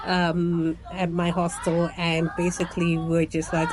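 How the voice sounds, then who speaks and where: Very slow speech from a woman, her voice somewhat low, with background noise clearly audible. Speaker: travel vlogger. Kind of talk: casual vlog monologue. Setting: speaking to camera. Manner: many filler words.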